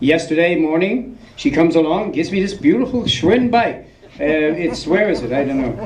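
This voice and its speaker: Lively intonation and a New York accent come through over audible room echo. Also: man. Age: 60s. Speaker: film subject at festival Q&A. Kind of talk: audience Q&A. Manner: halting, many fillers and repeats.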